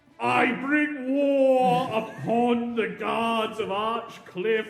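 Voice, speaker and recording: In a put-on character voice, a man talks very slowly at an extremely high pitch with fairly even intonation and clear echo. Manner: menacing, declamatory.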